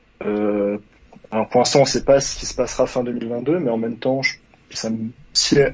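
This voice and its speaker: Over noticeable background noise, a man with a medium-pitched voice talks at a fairly quick pace with fairly even intonation. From Savoie, France. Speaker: caller, gaming fan. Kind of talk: casual chat. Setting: call-in to live stream.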